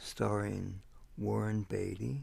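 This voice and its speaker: A soft-spoken man with a fairly low, somewhat breathy voice talks at a very slow pace. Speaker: ASMR creator. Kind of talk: casual talk to camera, showing a video collection.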